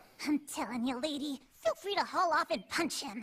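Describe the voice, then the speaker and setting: High-pitched and cartoonish, this character voice moves at a moderate pace. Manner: sarcastic, cheeky.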